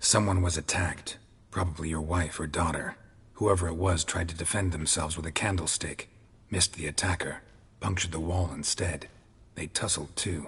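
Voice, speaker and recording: In a put-on character voice, a man speaks very deep and low. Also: moderate pace. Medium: video game. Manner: terse, clipped, flat.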